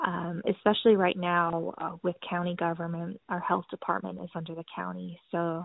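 Speaking at a very slow pace, a woman keeps a monotone, flat intonation while her loudness swings widely. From Cambodia (Phnom Penh), American expat family. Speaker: newspaper reporter. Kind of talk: interview.

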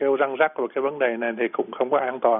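Fairly high pitch and fairly even intonation from a man. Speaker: physician, pediatrics and general medicine. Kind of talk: medical Q&A explanation. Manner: halting, many fillers and repetitions.

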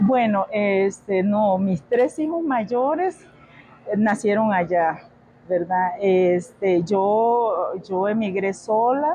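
With a dark, mellow tone and a medium pitch, a woman speaks at a very slow pace. Her intonation is lively. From Nicaragua, Managua and Pacific side. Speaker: café owner. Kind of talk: interview. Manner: hesitant fillers.

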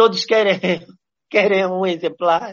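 The voice belongs to a man. He keeps his intonation fairly even. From Mozambique. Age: 40s. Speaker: visual artist. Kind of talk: interview. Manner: halting, with many repetitions.

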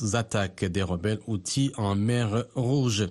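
A man with a fairly low pitch and ordinary pitch variation talks at a fairly slow pace in an unremarkable speaking voice. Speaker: news anchor. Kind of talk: news reading. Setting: studio. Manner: formal; measured.

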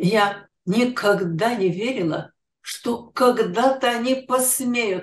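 Speaking very slowly, a woman uses lively intonation. Her pitch sits in the medium range. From Ukraine, Kyiv. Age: 80s+. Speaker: Holocaust survivor. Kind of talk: testimony.

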